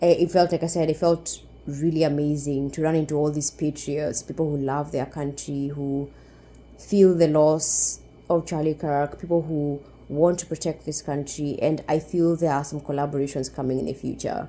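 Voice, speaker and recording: This woman has a Kenyan accent and a very deep, low pitch. Her tone is dark and mellow, and her pace is moderate. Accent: Kenyan accent, noticeable. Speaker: YouTuber. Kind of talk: vlog storytelling. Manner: animated.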